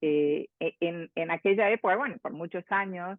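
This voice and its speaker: A woman speaks at a fairly slow pace in a fairly low pitch, with ordinary pitch variation. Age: 60s. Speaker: transpersonal psychologist and author. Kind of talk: interview. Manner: halting, with many fillers and repetitions.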